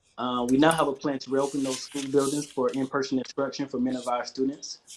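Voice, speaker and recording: A man with an American accent speaks at a fairly quick pace in a monotone, flat intonation. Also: medium pitch for a man. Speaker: education department community liaison. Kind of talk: public meeting briefing.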